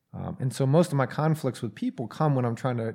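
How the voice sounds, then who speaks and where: In a very clean recording with a silent background, a man with an American accent speaks at a fairly quick pace, his medium pitch showing ordinary variation. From Atlanta, US South. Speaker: addiction recovery program director. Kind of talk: casual interview conversation. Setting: studio.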